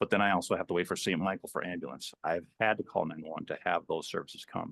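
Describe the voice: Speaking at a fast pace, a man uses a low pitch with a fairly bright tone, vocal fry and a slightly husky edge. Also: fairly even intonation.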